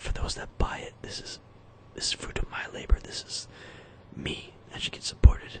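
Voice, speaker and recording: Someone whispers breathily against noticeable background noise. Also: man. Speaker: musician. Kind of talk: casual talk to camera.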